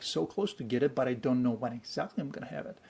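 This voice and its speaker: A man speaks with a Bulgarian accent and an animated tone. His pitch variation is ordinary. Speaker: actor. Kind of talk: interview. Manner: animated, many fillers.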